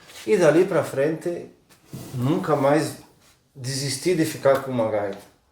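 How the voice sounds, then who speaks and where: A man talks fairly slowly, and audible room echo can be heard. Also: fairly high pitch for a man, ordinary pitch variation. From Rio Grande do Sul, southern Brazil. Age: 50s. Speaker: accordion tuner. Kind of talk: interview.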